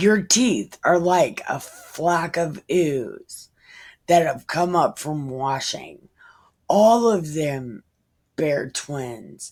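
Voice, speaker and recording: A woman's put-on, raspy character voice, fairly low in pitch, very slow, with lively intonation. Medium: solo performance. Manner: tender, poetic.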